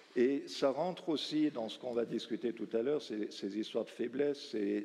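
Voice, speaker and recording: Dark and mellow in tone, a man with a strong Valais accent speaks at medium pitch and a moderate pace, with ordinary pitch variation. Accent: Valais Swiss French accent, strong. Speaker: round table moderator. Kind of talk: panel discussion moderation.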